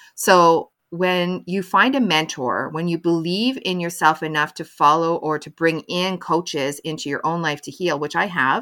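Recorded very cleanly against a silent background, the voice has a bright, sharp tone and a Canadian accent, moving at a moderate pace with hardly any pauses, ordinary pitch variation and big swings in loudness. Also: woman, fairly low pitch for a woman. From Canada. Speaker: mental health advocate and motivational speaker. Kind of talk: interview.

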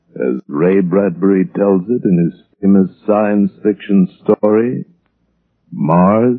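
Slow, lively intonation with a slightly husky edge and vocal fry, in a dry, close sound with no echo. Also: man.

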